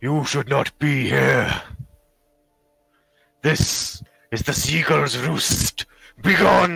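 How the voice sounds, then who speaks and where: A man with a raspy, medium-pitched voice puts on a character voice. He goes at a very slow pace with long, frequent pauses. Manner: menacing, commanding.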